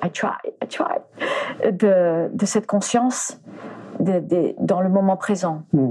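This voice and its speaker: Medium pitch from a woman, with noticeable background noise. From France, arrived from the US at age 4. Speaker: animal communicator and former flamenco dancer. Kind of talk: interview. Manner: halting, many repetitions.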